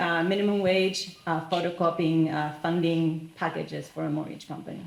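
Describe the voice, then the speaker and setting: A woman with a Spanish accent speaks at a moderate pace in a fairly low voice with fairly even intonation. Audible room echo and noticeable background noise surround her. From Argentina. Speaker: business leader. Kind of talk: panel discussion.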